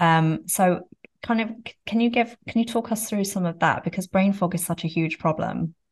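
Ordinary pitch variation in a somewhat breathy voice at a moderate pace. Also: woman, medium pitch for a woman. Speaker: podcast host. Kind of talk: casual interview.

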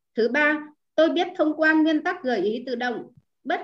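The speaker is a woman. Her intonation is lively. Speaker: club member reading aloud. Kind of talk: reading aloud in group. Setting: online video call.

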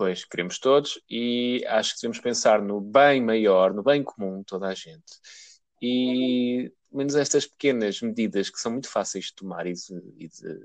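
A normal speaking voice moves at a fairly slow pace with lively intonation. The sound is dry and close, with no echo. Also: man. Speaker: podcast co-host. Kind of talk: casual chat.

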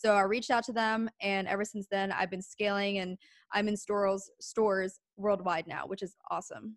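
Monotone, flat intonation with an American accent over a very clean recording and a silent background. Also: woman, medium pitch for a woman, moderate pace, dry, close sound with no echo. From US East Coast, Pennsylvania. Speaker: business owner and podcast host. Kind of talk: interview.

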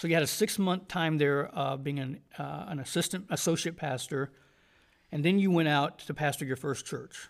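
On a very clean recording with a silent background, the speaker uses a Southern US accent, ordinary pitch variation and a moderate pace. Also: man. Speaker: podcast host and Bible college teacher. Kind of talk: interview. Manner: halting, many fillers.

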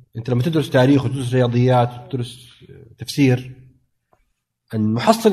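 A man speaks at a moderate pace and medium pitch. His dark, mellow tone is somewhat breathy, with fairly even intonation. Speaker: science fiction author and editor. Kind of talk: casual chat.

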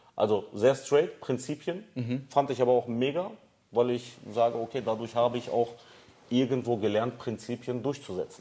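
This voice carries a dark, mellow tone and moves through ordinary pitch variation. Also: man, medium pitch for a man, moderate pace. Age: 30s. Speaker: business founder. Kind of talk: casual interview. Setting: studio with camera.

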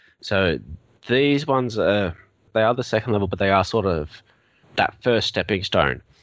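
Speech comes at a fairly quick pace. It is delivered in an Australian accent. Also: man. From Melbourne, Australia. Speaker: IT consultant. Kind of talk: casual interview chat.

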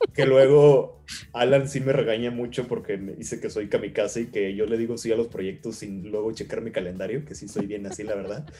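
Speaking with a Mexican accent at a fairly quick pace, a man keeps a medium pitch with ordinary pitch variation but big swings in loudness. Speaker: actor and stage manager. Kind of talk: casual interview chat.

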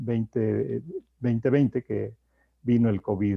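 In a dry, close sound with no echo, a man speaks very slowly at medium pitch with a dark, mellow tone and fairly even intonation. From Mexico. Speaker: public health activist. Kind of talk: interview. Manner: halting.

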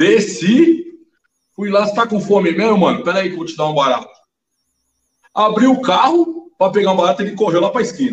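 A man with a high voice speaks at a fairly quick pace, his pitch swinging very widely. He leaves long, frequent pauses. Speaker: podcast guest. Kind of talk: casual chat.

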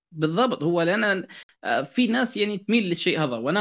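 A man talks at a fairly quick pace with a bright, sharp tone. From Libya, Benghazi. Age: 20s. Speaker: novelist. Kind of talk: interview.

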